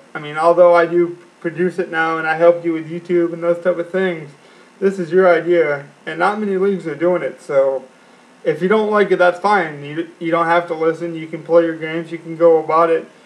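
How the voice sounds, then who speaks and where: Flat, monotone delivery at a fairly quick pace over noticeable background noise. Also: man, high pitch for a man. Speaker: fantasy sports league podcast co-host. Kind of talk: casual chat.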